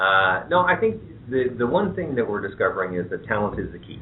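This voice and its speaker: Speaking fairly quickly with a Canadian accent, a man at medium pitch makes very wide pitch swings. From southwestern Ontario, Canada (London, Ontario). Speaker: head of an economic development agency. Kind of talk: radio talk show interview.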